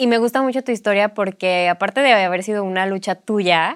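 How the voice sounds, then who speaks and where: A woman's medium-pitched voice at a fairly quick pace, ordinary pitch variation, a dry, close sound with no echo, and a very clean recording with a silent background. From Mexico. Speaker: podcast host. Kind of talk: interview.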